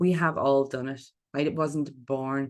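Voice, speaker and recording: A woman speaks at a fairly slow pace in a very deep, low voice with monotone, flat intonation. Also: quiet background. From Ireland. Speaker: public speaking coach. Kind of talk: online workshop talk.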